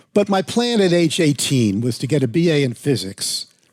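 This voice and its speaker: A man talks with an American accent and lively intonation. His voice is somewhat breathy. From New York City suburbs, US. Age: 70s. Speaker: piano technician and author. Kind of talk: interview. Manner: halting.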